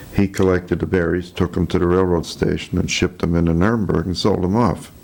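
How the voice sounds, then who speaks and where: Over noticeable background noise, a man with a very deep, low voice and an American accent talks in a flat monotone. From Chicago, US Midwest. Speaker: war veteran. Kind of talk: oral history interview. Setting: filmed interview.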